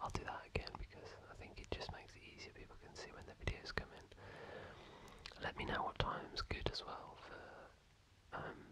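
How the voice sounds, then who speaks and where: Someone whispers in a British accent at a moderate pace, relaxed in tone. Noticeable background noise runs underneath. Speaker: FIFA ASMR content creator. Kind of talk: casual talk to camera, gaming commentary. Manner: whispered, relaxed.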